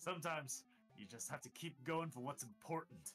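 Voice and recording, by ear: A man's put-on character voice, raspy and gravelly, fairly high in pitch at a fairly quick pace, over clear music in the background.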